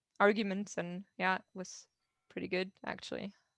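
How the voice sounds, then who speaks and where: The sound is dry and close, with no echo. A woman speaks in a German accent. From southern Germany. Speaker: agile coach. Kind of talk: Q&A answer at online meetup. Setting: video call. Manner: halting.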